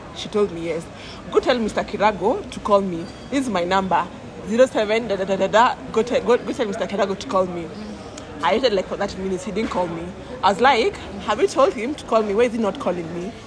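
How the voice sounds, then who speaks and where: Over crowd noise and audible room echo, the speaker talks at a fairly quick pace in an animated tone, with big swings in loudness and ordinary pitch variation. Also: woman, medium pitch for a woman. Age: 20s. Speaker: podcast guest sharing mental health story. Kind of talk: casual chat.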